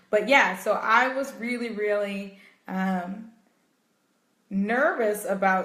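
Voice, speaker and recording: Her voice rings with audible room echo as the woman talks. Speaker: meditation coach. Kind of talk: live stream talk. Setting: Facebook live video.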